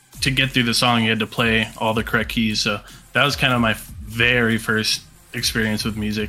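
A man's flat, monotone delivery at a fairly quick pace, very even in loudness, with music in the background. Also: medium pitch for a man. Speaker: metal musician and music label owner. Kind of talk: casual interview chat. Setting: remote call.

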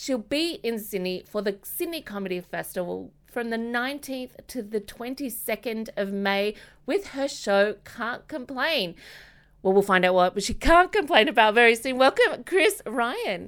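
A woman's fairly high voice with an Australian accent, lively intonation and a fairly slow pace. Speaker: podcast host. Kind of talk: interview.

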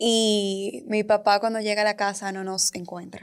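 Her intonation flat and monotone, a woman speaks at a moderate pace. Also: very clean recording, silent background. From Dominican Republic. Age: 20s. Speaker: communication educator and founder. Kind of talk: interview, personal story.

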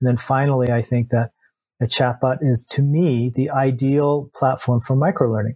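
This man has a medium pitch and a dark, mellow, somewhat breathy tone, with monotone, flat intonation. The sound is dry and close with no echo. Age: 50s. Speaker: software entrepreneur. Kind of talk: interview.

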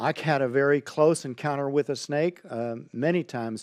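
A man with an American accent has a normal speaking voice with a fairly high pitch and ordinary pitch variation, in a dry, close sound with no echo against a quiet background. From Texas (Highlands, near Houston). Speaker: pastor. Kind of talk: sermon. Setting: livestream on social media.

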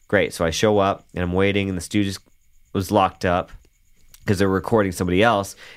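A man's fairly low voice, monotone and flat, at a very fast pace broken by long, frequent pauses, on a very clean recording with a silent background. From Canada. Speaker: bass player. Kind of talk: casual interview chat.

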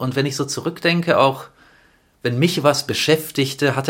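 This man uses a plain, everyday voice, pitched fairly high and delivered at a moderate pace. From Stuttgart, Germany. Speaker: film director and activist. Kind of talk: casual interview.

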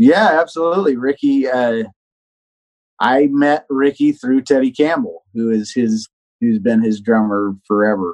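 A man holds a medium pitch, his intonation lively and his pace fairly slow. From Texas, moved around a lot as a child. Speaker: professional touring guitarist. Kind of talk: interview. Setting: remote call.

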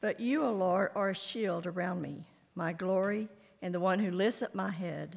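The speaker has a normal speaking voice, ordinary pitch variation and a moderate pace. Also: woman, medium pitch for a woman. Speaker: scripture reader. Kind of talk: reading aloud.

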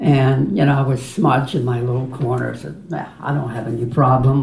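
Noticeable background noise accompanies speech delivered at a moderate speed. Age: 70s. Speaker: retreat participant. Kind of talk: personal sharing.

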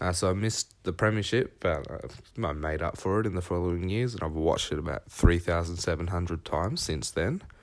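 With an Australian accent, a man speaks at a very deep, low pitch with ordinary pitch variation and hardly any pauses. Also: fairly quick pace. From Victoria, Australia (Horsham). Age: young. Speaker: football fan. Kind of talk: recorded voice memo.

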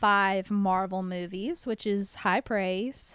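At a very slow pace, a woman with an American accent speaks in a bright, sharp tone. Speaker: podcast co-host. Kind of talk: casual chat. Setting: remote recording.

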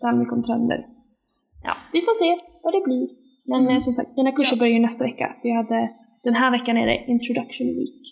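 A woman speaks at a very fast pace yet leaves long, frequent pauses, keeping her loudness very even. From Sweden, Linköping. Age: 20s. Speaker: podcast co-host, exchange student. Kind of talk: casual chat.

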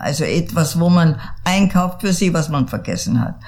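The woman's voice sits at a fairly low pitch. Noticeable background noise and audible room echo fill the recording. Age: 80s+. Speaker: artist and storyteller. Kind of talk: interview. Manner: halting, many repeats.

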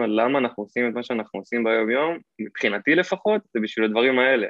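In a plain, everyday voice, a man talks at a fairly quick pace with medium pitch and lively intonation. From Israel, Hod HaSharon. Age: 20s. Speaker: Amazon seller, former college footballer. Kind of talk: podcast interview.

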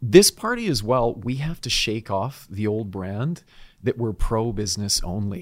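This man has a normal speaking voice with a Canadian accent, medium pitch, ordinary pitch variation and a fairly slow pace. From British Columbia, Canada. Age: 40s. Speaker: political candidate. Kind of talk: interview.

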